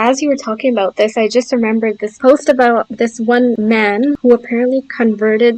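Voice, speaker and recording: A woman with a plain, everyday voice speaks at a moderate pace, fairly high in pitch and with fairly even intonation, in dry, close sound with no echo. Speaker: podcast host. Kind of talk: podcast conversation.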